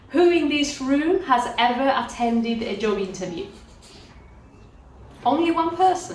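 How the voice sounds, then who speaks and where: Over noticeable background noise and audible room echo, a woman with a high pitch talks at a fairly slow pace, leaving long, frequent pauses and making very wide pitch swings. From Spain, Andalusia (Cádiz). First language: Spanish. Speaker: career mentor. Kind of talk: talk to a class of language learners.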